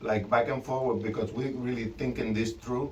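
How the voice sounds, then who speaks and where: There is audible room echo here. Through it, a man talks. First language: not English. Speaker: DIY trailer builder vlogger. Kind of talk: casual vlog tutorial. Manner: halting, many fillers and repetitions.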